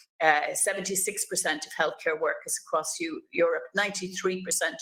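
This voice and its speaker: Someone speaks at a moderate pace with an Irish accent. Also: woman. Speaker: politician, webinar chair. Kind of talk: panel moderation.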